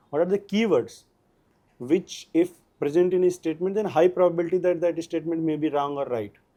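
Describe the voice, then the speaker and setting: A man with a north Indian accent speaks at a fairly quick pace in a high pitch, with a dark, mellow tone and ordinary pitch variation. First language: Hindi. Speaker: civil services exam topper. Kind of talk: interview. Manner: halting.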